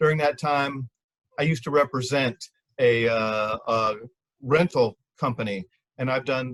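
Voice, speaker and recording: A normal speaking voice at a moderate pace, with ordinary pitch variation and a dry, close sound with no echo. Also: man. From Manatee County, Florida. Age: 60s. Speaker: judicial candidate, attorney. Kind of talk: campaign speech.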